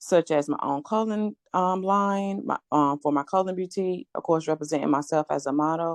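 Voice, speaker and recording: Against a quiet background, a woman speaks with fairly even intonation. The sound is dry and close, with no echo. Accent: Southern US. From rural North Carolina. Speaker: real estate investor. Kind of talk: podcast interview.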